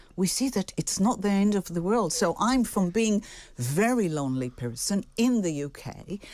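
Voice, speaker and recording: Very wide pitch swings in an Israeli accent, in a very clean recording with a silent background. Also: woman, medium pitch for a woman, moderate pace. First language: Hebrew. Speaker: singer-songwriter. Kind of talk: radio interview.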